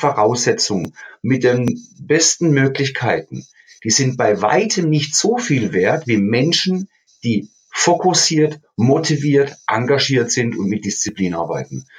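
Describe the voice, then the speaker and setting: A man speaks very slowly at a medium pitch, his somewhat breathy voice swinging very widely in pitch. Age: 50s. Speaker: fitness champion and personal trainer. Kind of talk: interview.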